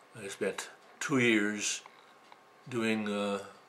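There is light background noise behind a man with an Upper Midwest accent. His fairly low voice has a bright, sharp tone and a monotone, flat intonation. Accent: Upper Midwest American. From Wisconsin. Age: 80s+. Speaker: male midwife. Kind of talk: interview answer. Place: home room. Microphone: camera far.

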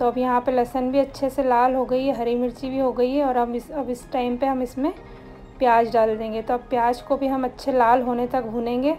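A woman's high, monotone voice with flat intonation at a moderate pace, faint music in the background. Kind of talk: cooking tutorial narration. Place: kitchen.

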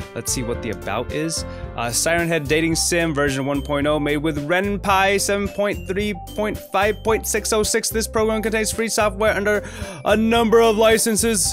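Clear music plays in the background. A man talks at a moderate pace. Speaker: gaming video host. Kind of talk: casual gameplay commentary. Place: home room. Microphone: studio mic.

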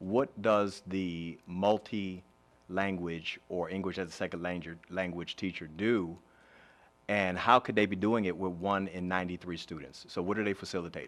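A man speaks at a moderate pace in a very deep, low voice, his intonation fairly even. The recording is very clean, with a silent background. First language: Spanish. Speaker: county commissioner or legislator. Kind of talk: public board meeting discussion. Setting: public meeting room, livestream.

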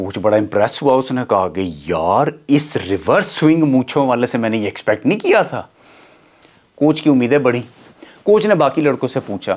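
The speaker goes at a fairly slow pace with vocal fry and very wide pitch swings. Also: man. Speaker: comedic storyteller. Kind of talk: comic monologue, story to camera. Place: studio. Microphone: lapel.

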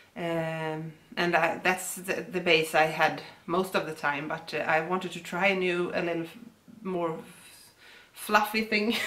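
A woman's fairly low voice in a Swedish accent, bright and sharp in tone, with fairly even intonation, a fairly slow pace and long, frequent pauses. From Sweden. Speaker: yarn dyer and shop owner; co-host. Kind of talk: casual chat.

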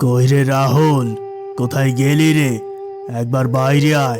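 A man's cartoonish character voice at a fairly slow pace, over loud music in the background. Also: medium pitch for a man. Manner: curt, domineering, contemptuous.

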